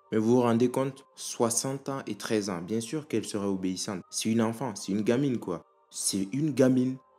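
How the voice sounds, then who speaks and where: With music in the background, the speaker moves at a fairly quick pace with ordinary pitch variation. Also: man, medium pitch for a man. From Africa. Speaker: video commentator. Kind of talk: opinion commentary.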